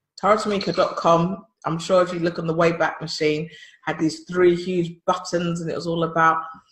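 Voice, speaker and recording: Speaking at a fairly quick pace with a London accent, a woman sounds somewhat breathy, her pitch fairly low. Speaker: podcast co-host, business consultant. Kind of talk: casual chat.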